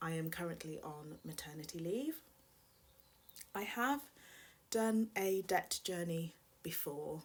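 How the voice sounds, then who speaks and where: A woman speaks with a British accent. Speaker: personal finance vlogger. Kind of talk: vlog confession. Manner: slightly unnatural, self-conscious.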